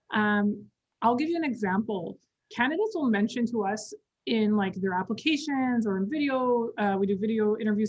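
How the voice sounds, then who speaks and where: A somewhat breathy woman's voice at a fairly high pitch. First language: not English. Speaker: communications company employee, guest speaker. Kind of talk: webinar interview.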